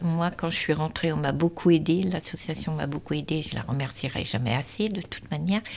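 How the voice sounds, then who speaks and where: A woman speaks at a fairly quick pace with a very deep, low pitch, ordinary pitch variation and hardly any pauses. Noticeable background noise runs under her voice. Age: 60s. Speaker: charity volunteer. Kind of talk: documentary interview.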